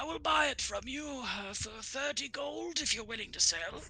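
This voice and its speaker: A put-on character voice, raspy and fairly high in pitch. Light background noise sits under it. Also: moderate pace. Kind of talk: fantasy wise elder. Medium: actual play. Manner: slow, deliberate.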